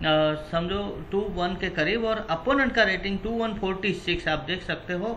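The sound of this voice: With clear background noise, a man with a high pitch speaks at a moderate pace using lively intonation.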